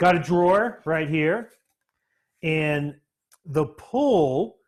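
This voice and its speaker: A man speaks with a Florida accent. His pitch is fairly high, with ordinary variation. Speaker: woodworking teacher. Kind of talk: live-streamed workshop tutorial. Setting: workshop. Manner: halting, many fillers.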